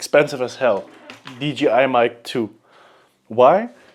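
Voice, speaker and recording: The voice belongs to a man. He has a German accent. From Germany. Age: 20s. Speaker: vlogger. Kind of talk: unscripted vlog monologue. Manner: halting, with repetitions.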